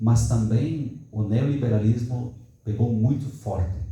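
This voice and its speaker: A man speaks fairly slowly in a southern Brazilian accent with ordinary pitch variation. Audible room echo surrounds his voice. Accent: gaúcho (southern Brazilian). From southern Brazil, Rio Grande do Sul. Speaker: academic seminar participant. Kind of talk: discussion comment in academic Q&A. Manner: halting, with false starts.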